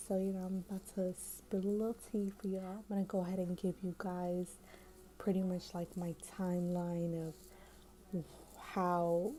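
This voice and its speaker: Here a woman speaks at a medium pitch. Her tone is dark and mellow, and somewhat breathy. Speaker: lifestyle vlogger. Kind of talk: casual vlog chat. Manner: whispering; hesitant with fillers.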